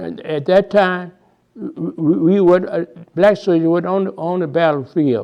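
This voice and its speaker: The speaker has a Texas accent and talks at a fairly slow pace with ordinary pitch variation. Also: man, high pitch for a man. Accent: Southern US, Texas. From Houston, Texas. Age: 90s. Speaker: WWII veteran. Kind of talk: oral history interview answer. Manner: hesitant, repeats words.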